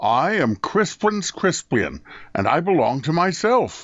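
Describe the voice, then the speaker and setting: Using a put-on character voice, a man speaks high for a man and at a fairly slow pace. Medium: read story.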